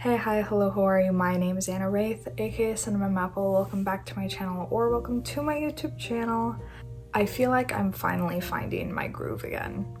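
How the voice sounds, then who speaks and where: Music plays in the background as a soft-spoken woman talks at a fairly quick pace, with audible room echo. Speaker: youtuber, artist. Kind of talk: casual vlog chat. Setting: home room, not ideal setting.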